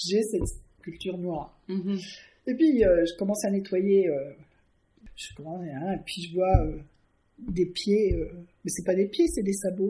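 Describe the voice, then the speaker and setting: Somewhat breathy and dark, mellow in tone, a woman speaks at medium pitch and a fairly slow pace with ordinary pitch variation and long, frequent pauses. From Canada, then France (Villepreux). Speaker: artist. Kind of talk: casual interview. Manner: halting, many hesitations.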